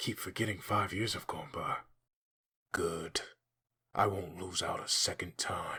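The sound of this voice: A man doing a put-on character voice, low-pitched, with a bright, sharp tone and a husky, rough edge. He speaks at a fairly slow pace with fairly even intonation, on a very clean recording with a silent background.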